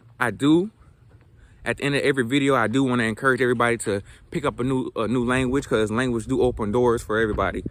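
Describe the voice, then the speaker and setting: Very fast and with fairly even intonation, a man talks at medium pitch with an American accent. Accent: Southern dialect, mostly toned down. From US South, South Georgia. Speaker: language learning vlogger. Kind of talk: casual vlog monologue. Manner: halting, many fillers and repetitions.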